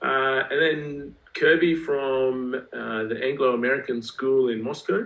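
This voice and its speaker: A man in an Australian accent speaks at a fairly slow pace with hardly any pauses. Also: medium pitch for a man, ordinary pitch variation. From Australia, rural Queensland. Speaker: school athletics director. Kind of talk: podcast interview.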